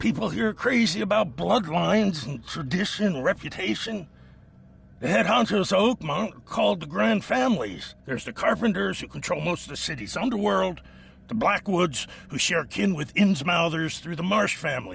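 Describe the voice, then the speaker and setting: Against a quiet background, a man puts on a character voice at a high pitch and a moderate pace. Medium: video game. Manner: defensive, resentful.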